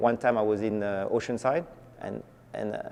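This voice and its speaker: A man with a French accent, music in the background. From France. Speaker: skateboarder, shoe company founder. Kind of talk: documentary interview.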